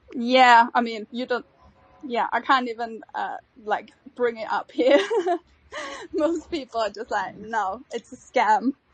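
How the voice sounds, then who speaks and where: Speaking in a German accent, a woman with a high voice uses lively intonation at a fairly slow pace, pausing long and often. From Austria. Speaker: NFT project co-founder. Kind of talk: casual chat.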